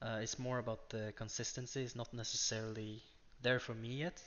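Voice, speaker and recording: With a Norwegian accent, a man speaks at a fairly quick pace. His medium-pitched voice is monotone, with flat intonation. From Norway. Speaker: day trader. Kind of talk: screen-share tutorial. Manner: unscripted, hesitant with fillers.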